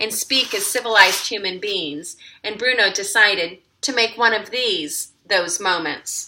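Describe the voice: The recording captures someone plainly reading aloud.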